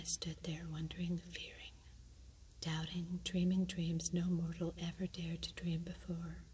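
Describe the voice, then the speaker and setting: Soft-spoken whispering unfolds at a fairly slow pace. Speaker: ASMR reader. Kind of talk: poetry reading. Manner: soft-spoken, whispered.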